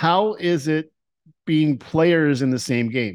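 Against a quiet background, a man with a fairly high pitch speaks very slowly with lively intonation. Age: 50s. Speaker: dungeon master hosting a tabletop game podcast. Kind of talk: casual interview.

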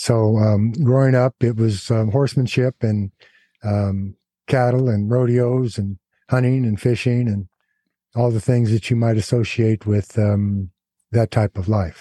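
A man's medium-pitched voice with an American accent, a dark, mellow tone and fairly even intonation. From California (Big Pine reservation). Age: 70s. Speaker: former prison gang leader. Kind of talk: interview. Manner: halting, many fillers; articulate.

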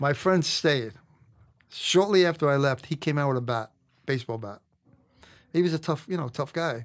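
Using a Brooklyn accent, a man speaks at a moderate pace with ordinary pitch variation and long, frequent pauses. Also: very clean recording, silent background. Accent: New York (Brooklyn). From New York, Brooklyn (Canarsie). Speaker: retired police detective. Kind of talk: casual interview storytelling.

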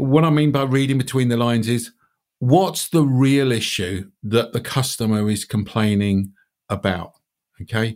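A man speaks at medium pitch with a British accent. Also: ordinary pitch variation, moderate pace. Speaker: podcast host. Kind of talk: casual chat.

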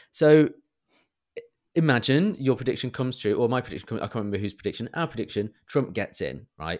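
Talking very fast yet with long, frequent pauses, a man with a medium-pitched voice and a British accent uses lively intonation. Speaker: podcast co-host. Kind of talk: casual chat. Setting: remote call between UK and US.

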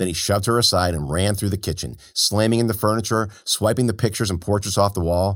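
What we hear is someone reading aloud plainly.

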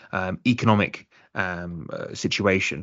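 This is a man speaking. His intonation is fairly even. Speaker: podcast host. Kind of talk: interview conversation.

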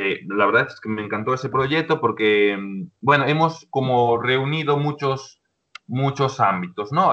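Lively intonation from a man, his pitch in the medium range. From Galicia, Spain (A Coruña province). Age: 20s. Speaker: social educator. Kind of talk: casual interview.

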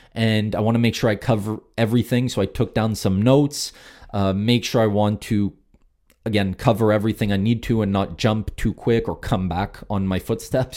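On a very clean recording with a silent background, a man with a dark, mellow tone speaks at a moderate pace with fairly even intonation. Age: 20s. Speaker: podcast host. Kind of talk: solo monologue, storytelling. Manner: halting, many fillers.

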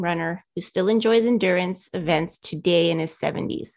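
On a very clean recording with a silent background, a woman speaks at a moderate pace and medium pitch with ordinary pitch variation in an unremarkable speaking voice. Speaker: podcast co-host. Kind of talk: casual interview chat.

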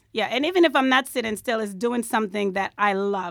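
A woman with a New York accent talks at a fairly quick pace with fairly high pitch and ordinary pitch variation. The recording is very clean with a silent background. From New York, the Bronx. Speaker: hairstylist. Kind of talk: interview. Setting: studio.

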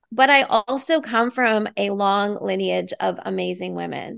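A woman talks at a fairly slow pace. Nothing but quiet surrounds her. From Canada. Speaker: nurse and leadership coach. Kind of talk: interview conversation.

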